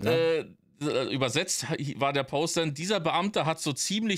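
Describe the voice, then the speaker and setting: A man speaks against a quiet background. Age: 40s. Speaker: podcast co-host, streamer. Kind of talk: casual chat. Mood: relaxed, joking. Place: home room.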